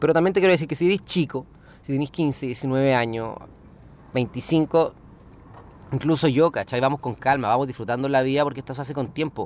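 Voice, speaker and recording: A man with a Chilean accent, medium pitch, fairly quick pace and long, frequent pauses. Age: 30s. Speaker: podcaster and small business owner. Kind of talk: casual monologue. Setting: in a car.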